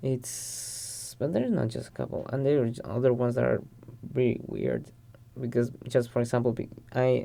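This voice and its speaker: A man with a Spanish accent at a moderate pace. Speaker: podcast guest. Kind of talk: casual chat. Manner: halting, with repeated words.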